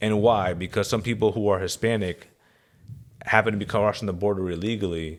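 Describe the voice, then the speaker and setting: A man with an American accent talks fairly quickly at a fairly low pitch, with long, frequent pauses, in a very clean recording with a silent background. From Connecticut, US. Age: 30s. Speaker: podcast guest. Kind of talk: casual political discussion. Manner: halting, many repetitions.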